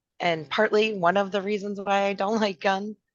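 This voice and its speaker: A woman with a Minnesotan accent, medium in pitch. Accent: Minnesota. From Minnesota, Twin Cities. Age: 50s. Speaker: podcast co-host. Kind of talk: casual chat.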